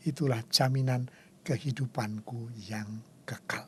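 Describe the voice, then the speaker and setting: A man's somewhat breathy, medium-pitched voice at a very slow pace, on a very clean recording with a silent background. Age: 70s. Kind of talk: spiritual talk show conversation.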